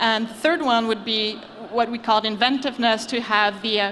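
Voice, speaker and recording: A French accent at a moderate pace, with fairly even intonation and noticeable background noise. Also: woman. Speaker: venture capital investor. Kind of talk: panel discussion. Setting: stage with audience.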